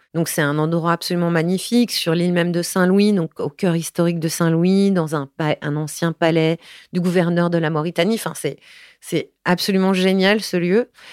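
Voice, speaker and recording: A woman with an ordinary speaking voice talks at a moderate pace and fairly low pitch, with fairly even intonation and very even loudness. The recording is very clean and silent in the background, with a dry, close sound and no echo. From Paris, France. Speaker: film director. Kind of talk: interview testimony.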